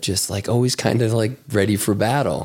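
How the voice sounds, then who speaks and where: Here is a man with an American accent and a plain, everyday voice. He has a fairly low pitch and ordinary pitch variation. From Chicago. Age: 40s. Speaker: former trader turned fitness community leader. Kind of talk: casual chat.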